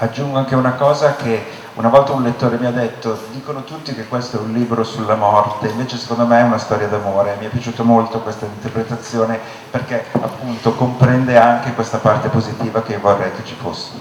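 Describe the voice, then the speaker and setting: A man with a medium pitch talks very fast in a monotone, flat way, his loudness swinging widely, with audible room echo and noticeable background noise. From Italy, Milan. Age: 50s. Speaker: novelist. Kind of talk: book talk Q&A. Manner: hesitant, many fillers.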